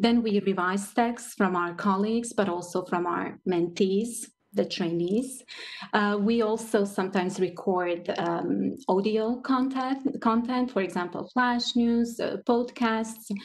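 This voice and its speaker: Speaking in a Croatian accent, the voice moves at a fairly slow pace with ordinary pitch variation. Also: woman. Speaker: translator. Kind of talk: panel discussion.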